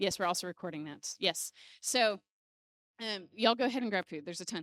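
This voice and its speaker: On a very clean recording with a silent background and a dry, close sound with no echo, a woman with an American accent talks at a very fast pace, her medium pitch showing ordinary variation. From US Midwest, Illinois. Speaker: church ministry leader. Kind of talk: announcements to church group. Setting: small church gathering with microphone. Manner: soft-spoken; casual, many fillers.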